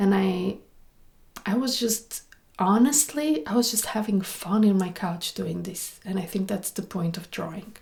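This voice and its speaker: A woman's somewhat breathy, medium-pitched voice at a fairly slow pace, with lively intonation. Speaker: illustrator and comic artist vlogger. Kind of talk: casual vlog talk about books. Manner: animated.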